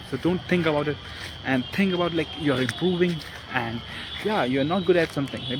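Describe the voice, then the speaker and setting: A man with a non-native accent and ordinary pitch variation, music in the background. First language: not English. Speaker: self-improvement vlogger. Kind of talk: casual vlog talk. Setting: outdoors in a park. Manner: halting.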